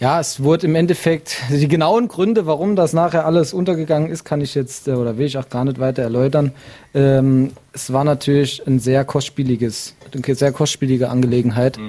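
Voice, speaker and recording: Hardly pausing at all, a man with a fairly high pitch and a dark, mellow tone talks at a moderate pace with ordinary pitch variation. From Saarland, Germany. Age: 20s. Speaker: amateur football club chairman. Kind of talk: interview. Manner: hesitant, many fillers.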